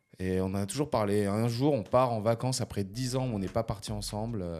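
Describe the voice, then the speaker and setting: A man speaks in a fairly low pitch with a dark, mellow tone and ordinary pitch variation. The recording is very clean, with a silent background. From France, Haute-Savoie. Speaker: teacher. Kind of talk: casual chat.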